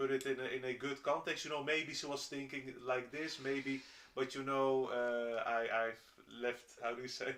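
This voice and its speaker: A man at a moderate pace and medium pitch, with a Dutch accent and monotone, flat intonation. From Netherlands. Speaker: roommate of the streamer. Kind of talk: casual chat. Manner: halting, many fillers and restarts.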